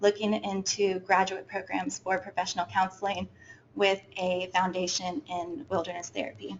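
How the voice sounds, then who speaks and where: A woman is speaking. Her pace is moderate. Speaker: student intern. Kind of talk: presentation. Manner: soft-spoken; hesitant, many fillers.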